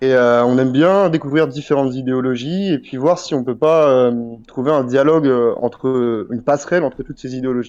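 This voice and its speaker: In an unremarkable speaking voice, a man talks at a fairly quick pace, medium in pitch with ordinary pitch variation. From France, Brittany (Brest). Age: 20s. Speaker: YouTube channel creator and interviewer. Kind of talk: interview.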